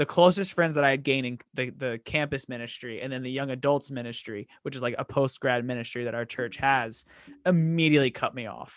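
The recording is very clean, with a silent background. A man with a plain, everyday voice speaks at a medium pitch and a fairly quick pace, with fairly even intonation. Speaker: podcast host. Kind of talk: casual chat.

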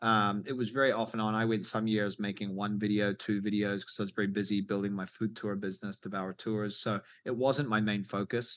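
With a New Zealand accent, a man speaks at a fairly low pitch and a fairly quick pace, in a monotone, flat intonation with hardly any pauses. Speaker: travel YouTuber and filmmaker. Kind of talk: interview. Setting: video call.

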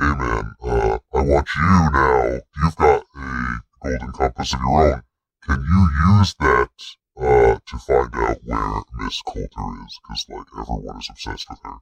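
A man puts on a character voice, very deep and low, delivered at a fairly slow pace. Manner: sly, tempting.

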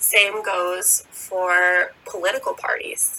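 A woman is speaking. She has an American accent. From United States. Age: 20s. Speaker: podcast host. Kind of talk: faith-based solo monologue.

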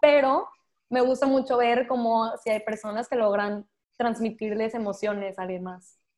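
Fairly high-pitched woman's voice at a moderate pace, with fairly even intonation. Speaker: content creator. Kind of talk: casual chat. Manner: talkative.

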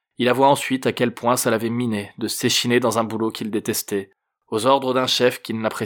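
The clip is plain reading aloud. Intonation stays fairly even over a quiet background.

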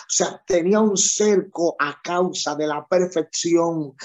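This man's voice sits high in pitch, with ordinary variation in its melody. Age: 30s. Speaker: pastor. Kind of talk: sermon. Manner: animated.

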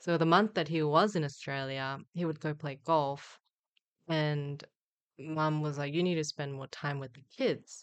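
A woman with a Korean accent speaks at a very deep, low pitch, fairly slow and with fairly even intonation, against a quiet background. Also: big swings in loudness. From South Korea (Busan). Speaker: LPGA tour golfer and Olympian. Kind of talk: casual interview.

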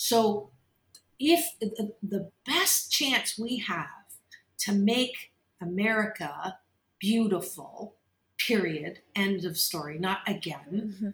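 A woman's medium-pitched voice with a Canadian accent, lively intonation, a very slow pace and long, frequent pauses. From Kitchener-Waterloo, Ontario, Canada. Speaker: organizational psychologist and talk radio host. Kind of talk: interview.

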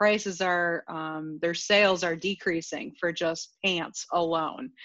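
Here is a woman with an ordinary speaking voice. Her pitch is fairly low and her intonation fairly even. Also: quiet background. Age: 30s. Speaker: podcast guest. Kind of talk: casual chat.

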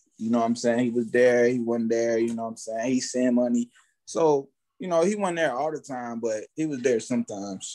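The man has an American accent and a medium pitch. He speaks at a fairly quick pace in a dark, mellow tone. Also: ordinary pitch variation, quiet background. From Fort Myers, Florida. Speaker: rapper. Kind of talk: casual interview.

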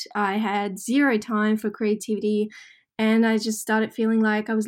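On a very clean recording with a silent background, a woman speaks in a fairly high pitch with monotone, flat intonation. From rural Russia. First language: Russian. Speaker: artist and small business owner. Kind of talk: casual interview chat.

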